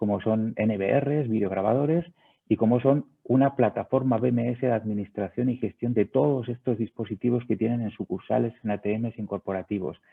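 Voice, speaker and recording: Speaking at a fairly quick pace, a man has a Spanish accent. His pitch is medium. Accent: Spanish (Spain). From Spain. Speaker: sales director of a video surveillance company. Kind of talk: webinar presentation. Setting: online webinar.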